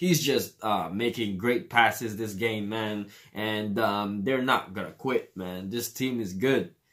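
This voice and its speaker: A man with a Filipino accent at a very slow pace, medium in pitch with ordinary variation. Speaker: sports reaction youtuber. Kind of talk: casual commentary. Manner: hesitant, many fillers.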